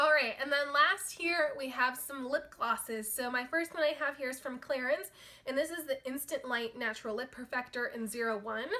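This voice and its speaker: Projecting a raised voice with hardly any pauses, a woman speaks at a high pitch with ordinary pitch variation against noticeable background noise. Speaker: beauty vlogger. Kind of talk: casual product review monologue. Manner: fast.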